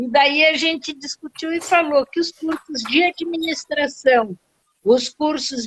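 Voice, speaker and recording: Very slowly, a woman speaks in a high voice with ordinary pitch variation. The sound is dry and close, with no echo. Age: 60s. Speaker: real estate rental company director, former teacher. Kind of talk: live stream interview. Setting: online live stream.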